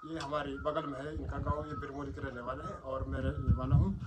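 Loud background noise surrounds a man who talks at a moderate speed. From Uttarakhand, Pauri Garhwal; Uttarakhand. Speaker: village vlogger. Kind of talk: casual chat. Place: home room.

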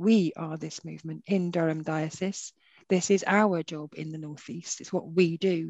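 A woman with a plain, everyday voice speaks with fairly even intonation. The sound is dry with no echo, over a quiet background. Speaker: director of religious resource centre; webinar speaker. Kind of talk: webinar moderation. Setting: video call. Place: home room. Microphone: headset.

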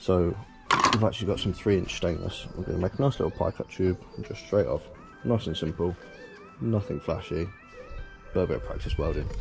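A man talks at a fairly quick pace over clear background music. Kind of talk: casual vlog chat. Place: street. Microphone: phone near.

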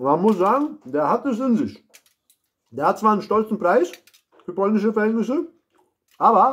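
This man's voice sits high in pitch. He talks at a moderate pace. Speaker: food reviewer. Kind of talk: casual food review vlog. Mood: playful, joking. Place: kitchen. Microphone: phone near.

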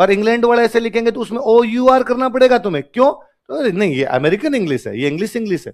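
Lively intonation and an animated tone run through this voice in a Rajasthani accent. The pace is fairly quick. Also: man, extremely high pitch for a man, quiet background. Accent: Rajasthani-accented Hindi. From Rajasthan, India. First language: Rajasthani (speaking Hindi). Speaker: teacher. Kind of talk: lecture. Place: classroom. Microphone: headset.

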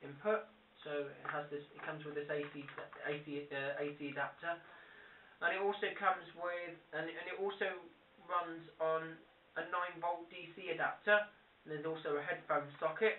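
A man speaks at a moderate pace and a high pitch, with fairly even intonation and long, frequent pauses. Audible room echo and light background noise are present. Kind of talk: tutorial. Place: home room. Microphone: camera far.

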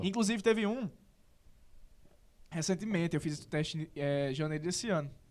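A man with a northeastern Brazilian accent speaks at a moderate pace. His voice is high for a man, with ordinary pitch variation. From Northeast Brazil. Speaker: actor. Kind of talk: interview answer. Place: studio. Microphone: studio mic.

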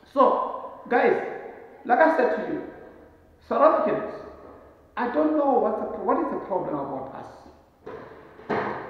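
A man speaks at a very slow pace. His voice carries a strong room echo. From South Africa. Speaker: travel vlogger. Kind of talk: casual monologue to camera. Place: home room. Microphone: camera far.

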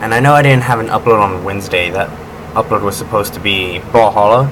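A fairly low male voice at a fairly quick pace over noticeable background noise. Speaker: gaming YouTuber. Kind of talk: casual video update, talking to camera. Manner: halting, rambling, self-correcting.

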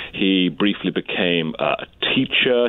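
A man speaks with an American accent over noticeable background noise. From eastern England, Cambridgeshire. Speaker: history professor. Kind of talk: interview. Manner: articulate, with frequent uh fillers.

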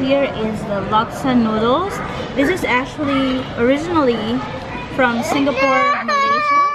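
Crowd noise sits in the background as a woman speaks. Her pace is moderate and her pitch varies in an ordinary way. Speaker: food vlogger. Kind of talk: casual vlog chat, food review. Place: cafe. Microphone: phone near.

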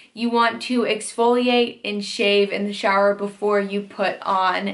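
A woman talks at a fairly slow pace with monotone, flat intonation. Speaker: beauty vlogger. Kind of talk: casual vlog tutorial. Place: home room.

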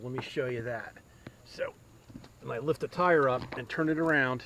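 At a fairly slow pace and with ordinary pitch variation, the voice has a dry sound with no echo over light background noise. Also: man. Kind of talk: tutorial. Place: garden. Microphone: phone near.

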